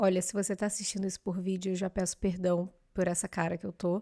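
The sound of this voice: In a put-on character voice, a woman speaks raspy and very fast at medium pitch with monotone, flat intonation and a dry, close sound with no echo.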